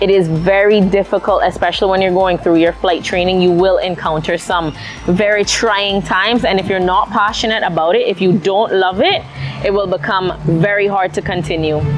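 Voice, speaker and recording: Over music in the background, a woman of medium pitch talks at a moderate pace with fairly even intonation and very even loudness. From Cayman Islands, Prospect, George Town. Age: 20s. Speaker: airline pilot. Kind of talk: interview monologue.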